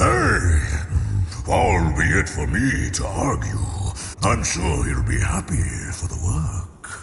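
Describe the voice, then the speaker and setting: Using a put-on character voice, a man speaks at a very slow pace with very deep, low pitch, amid clear echo and clear background noise. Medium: machinima. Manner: condescending, sly.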